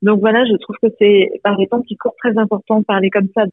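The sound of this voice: The voice has little pitch movement and a slightly husky edge. The sound is dry and close, with no echo. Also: woman.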